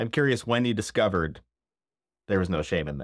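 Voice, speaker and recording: A man with a Midwestern accent talks at a very fast pace, with vocal fry. His pitch swings very widely. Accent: general American Midwestern. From US Midwest, Northern Illinois. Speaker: podcast host. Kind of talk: casual chat. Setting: video call. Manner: animated.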